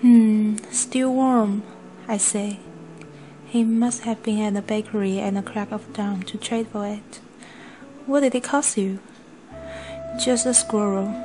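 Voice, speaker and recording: Over noticeable background noise, a woman with a non-native accent speaks at a fairly slow pace and fairly high pitch, with fairly even intonation and long, frequent pauses. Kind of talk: book read-aloud for pronunciation practice.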